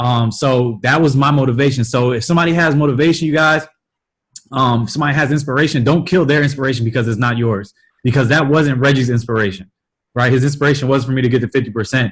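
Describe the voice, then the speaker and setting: Somewhat breathy male speech at a very fast pace. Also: medium pitch for a man, ordinary pitch variation. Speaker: multi-level marketing team leader. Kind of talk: motivational talk on a team call.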